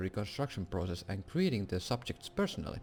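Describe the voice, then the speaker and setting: A man with a Finnish accent speaks at a fairly quick pace. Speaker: gaming YouTuber. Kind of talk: reading aloud. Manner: halting.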